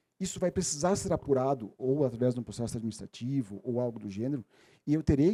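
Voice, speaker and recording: With a dark, mellow tone and lively intonation, the voice moves at a very fast pace in a dry, close sound with no echo. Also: man. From Rio Grande do Sul, Missões region, southern Brazil. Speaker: legal expert, seminar speaker. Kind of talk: lecture. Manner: halting, with fillers and self-corrections.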